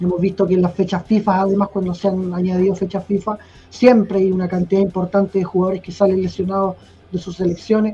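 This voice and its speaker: The speaker talks at a very fast pace in a Chilean accent. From Chile (Temuco, south). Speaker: football fan panelist. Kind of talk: casual chat.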